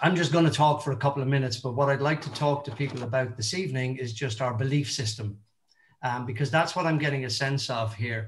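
A man's somewhat breathy voice at a fairly quick pace, with ordinary pitch variation. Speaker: motivational speaker. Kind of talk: motivational talk. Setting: video call. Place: home room. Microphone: video call.

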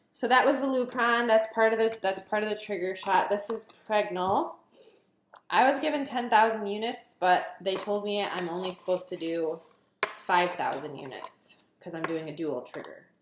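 At a moderate pace, the voice shows big swings in loudness, with audible room echo and light background noise. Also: woman. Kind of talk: casual vlog tutorial. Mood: nervous but upbeat. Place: kitchen. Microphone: phone near.

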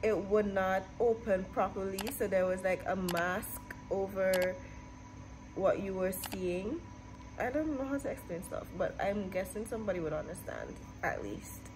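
A woman at a fairly slow pace over noticeable background noise. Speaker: vlogger. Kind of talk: casual vlog chat. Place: office. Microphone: phone near.

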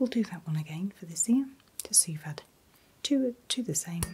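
The speaker is soft-spoken, with very wide pitch swings and big swings in loudness. The pace is moderate, over light background noise. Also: woman, fairly low pitch for a woman. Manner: soft, hushed ASMR voice. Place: home room.

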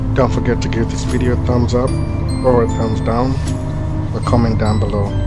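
Clear music plays behind a man talking at a fairly quick pace. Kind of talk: casual vlog narration. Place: car. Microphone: camera far.

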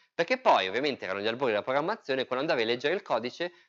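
A man talking at a very fast pace, very wide swings in pitch, over a quiet background. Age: 30s. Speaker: software engineer and user group organizer; presenter. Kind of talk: technical talk. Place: meeting room.

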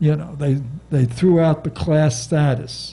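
This man's voice has a dark, mellow tone and is somewhat breathy. His intonation stays fairly even. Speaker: civil rights lawyer. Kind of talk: panel talk to audience. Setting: bookstore stage with audience. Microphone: handheld.

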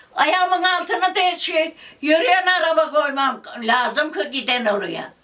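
Raising and projecting her voice, a woman speaks very slowly with lively intonation and a bright, sharp tone. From Çivril, Turkey. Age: 80s+. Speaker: local petition campaigner. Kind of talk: interview answer.

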